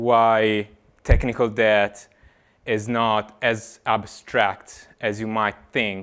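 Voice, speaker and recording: A man's voice on a very clean recording with a silent background. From Italy. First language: Italian. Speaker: software engineer, conference speaker. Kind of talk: tech talk. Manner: hesitant, many fillers.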